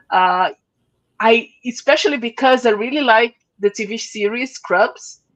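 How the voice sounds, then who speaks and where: A woman with a Portuguese accent speaks at a fairly high pitch and a fairly slow pace. The sound is dry and close, with no echo. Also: ordinary pitch variation, quiet background. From Brazil. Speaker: podcast host. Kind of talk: casual interview chat. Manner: halting.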